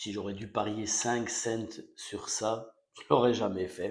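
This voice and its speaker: A soft-spoken man talks at a fairly low pitch. His intonation is monotone and flat. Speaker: football fan vlogger. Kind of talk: casual post-match reaction. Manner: hesitant, many fillers.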